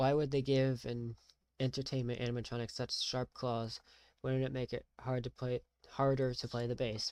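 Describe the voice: Someone is plainly reading aloud. The background is quiet.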